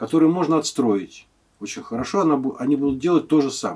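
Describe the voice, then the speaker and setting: Over a quiet background, a man speaks with a fairly high pitch. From Moscow, Russia; Russia. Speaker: guitar maker. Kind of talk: interview. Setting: workshop. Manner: halting. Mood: calm, thoughtful. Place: workshop.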